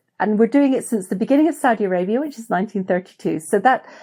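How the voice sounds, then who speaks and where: A woman's fairly high voice, dark and mellow in tone, at a very fast pace with ordinary pitch variation, in a very clean recording with a silent background. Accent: British. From Britain. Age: 60s. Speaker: explorer and adventurer. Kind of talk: interview.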